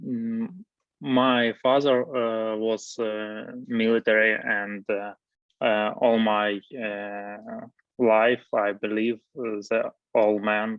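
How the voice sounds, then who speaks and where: Speaking very slowly in a Ukrainian accent, a man keeps a medium pitch and monotone, flat intonation. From Ukraine, Zaporizhzhia. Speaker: war veteran. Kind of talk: interview. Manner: halting, many hesitations.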